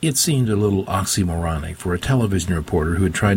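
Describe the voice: The clip is plain reading aloud.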